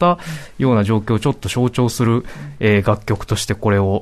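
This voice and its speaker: Talking at a very fast pace over a quiet background, a man has a fairly low pitch and ordinary pitch variation. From Saitama, Japan. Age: 30s. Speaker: writer on pop culture. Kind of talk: radio panel discussion.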